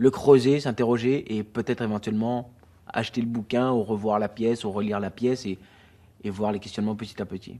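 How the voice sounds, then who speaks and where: At a fairly quick pace, a man talks with a dark, mellow tone, medium pitch and fairly even intonation. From Guadeloupe. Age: 30s. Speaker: theatre director. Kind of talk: interview. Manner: hesitant, many fillers and repetitions.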